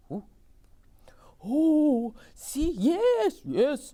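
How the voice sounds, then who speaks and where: The speaker uses a put-on character voice pitched high. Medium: read story.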